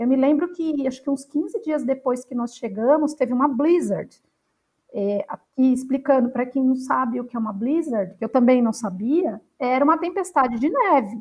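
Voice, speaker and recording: At a moderate pace, a woman talks at a high pitch with ordinary pitch variation. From Brazil, São Paulo city. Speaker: researcher. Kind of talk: interview conversation.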